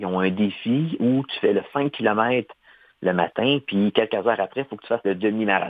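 A man speaks at a moderate pace in a normal speaking voice, medium in pitch, with ordinary pitch variation. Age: 40s. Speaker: amputee athlete, triathlete. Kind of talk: interview.

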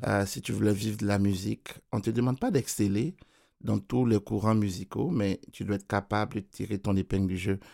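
A man speaks at a fairly quick pace with a fairly low pitch, a dark, mellow tone and fairly even intonation. The recording is very clean, with a silent background. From Ivory Coast. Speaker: keyboardist and music producer. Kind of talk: radio interview. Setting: studio.

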